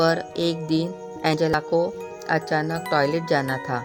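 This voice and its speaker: With music in the background, a woman talks in a very deep, low pitch. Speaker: voice over artist. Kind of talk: horror story narration.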